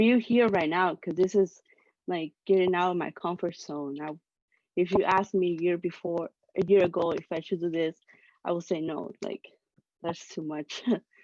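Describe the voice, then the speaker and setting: Long, frequent pauses break up speech in a non-native accent with fairly even intonation. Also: woman, fairly low pitch for a woman, moderate pace. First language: not English. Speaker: student volunteer. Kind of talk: casual chat. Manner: hesitant.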